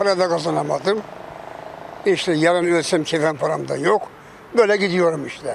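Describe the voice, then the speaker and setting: Long, frequent pauses break up a man's high-pitched speech, which moves at a moderate pace with fairly even intonation. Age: 80s+. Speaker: truck driver. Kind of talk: interview answer.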